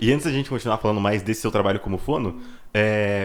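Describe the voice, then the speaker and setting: In a very clean recording with a silent background, a man's fairly low pitch shows ordinary pitch variation. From Brazil. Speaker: podcast host. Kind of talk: casual chat.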